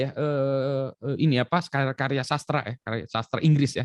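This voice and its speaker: A man speaks with an Indonesian accent at a fairly high pitch. The sound is dry and close, with no echo. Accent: Indonesian accent when speaking English. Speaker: education expert. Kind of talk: talk show conversation.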